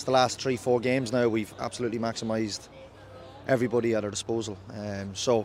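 At a fairly quick pace, a man talks in a fairly low pitch with little pitch movement and a slightly mellow tone.

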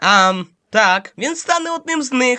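This cartoonish character voice sits at a fairly high pitch and moves at a fairly slow pace. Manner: calm, pragmatic.

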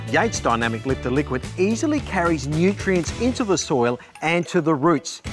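Over clear music in the background, a man with a fairly high pitch speaks at a moderate pace with lively intonation. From Australia. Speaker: TV gardening presenter and horticulturist. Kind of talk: product demonstration narration to camera.

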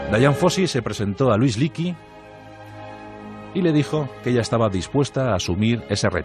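With music playing behind him, a man at a medium pitch talks at a moderate pace, swinging very widely in pitch and taking long, frequent pauses. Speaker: radio host and narrator. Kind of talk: radio history narration.

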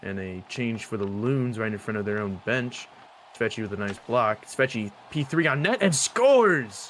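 A man with a plain, everyday voice, medium in pitch, with ordinary pitch variation and a moderate pace. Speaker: sports commentator. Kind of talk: live play-by-play esports hockey commentary over a goal compilation.

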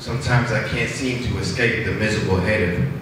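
A man's medium-pitched voice at a fairly slow pace, with strong room echo and noticeable background noise. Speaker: open mic poet. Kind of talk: spoken word poetry.

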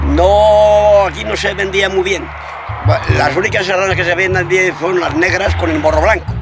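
A man speaks in a dry sound with no echo, and there is noticeable background noise. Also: moderate pace. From Soria, Spain. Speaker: livestock dealer and farmer. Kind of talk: interview answer. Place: open country.

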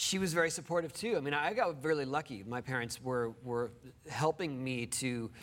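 A man speaks at a moderate pace. His pitch variation is ordinary. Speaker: interview guest. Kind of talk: interview answer. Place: studio. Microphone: lapel.

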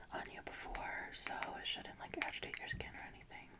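A woman whispers at a moderate pace. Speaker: ASMR artist. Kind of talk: ASMR roleplay as a friend, personal attention. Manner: whispered, soft, friendly. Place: home room. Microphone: earbuds.

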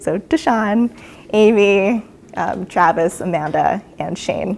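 A woman of medium pitch with lively intonation. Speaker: PhD candidate; candidate. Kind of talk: PhD defense talk. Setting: university presentation with audience and online. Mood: warm, grateful. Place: hall.

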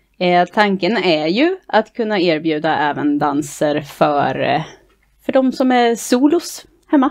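Her pitch swinging very widely, a woman speaks at a very slow pace over a quiet background. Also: medium pitch for a woman. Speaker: dance club board member and dance instructor. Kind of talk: casual interview chat. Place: home room. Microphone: headset.

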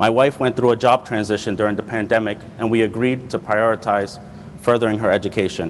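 A man at a very fast pace, with very even loudness, fairly even intonation and light background noise. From Providence, Rhode Island. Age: 20s. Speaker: community college student. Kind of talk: prepared speech. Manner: formal. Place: hall. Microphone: lapel.

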